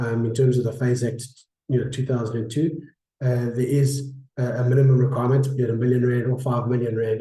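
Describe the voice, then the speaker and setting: Room echo is audible as a man speaks at a medium pitch, his tone dark, mellow and somewhat breathy. His intonation is monotone and flat. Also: fairly quick pace. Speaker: insurance broker. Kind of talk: webinar presentation. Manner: halting, many fillers.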